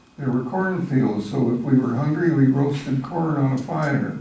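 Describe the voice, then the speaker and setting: Audible room echo and noticeable background noise surround a man's voice. He speaks at a moderate pace with ordinary pitch variation. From Arizona, Apache reservation. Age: 90s. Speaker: church member telling life story. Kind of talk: personal testimony, read from prepared text. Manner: halting, self-correcting.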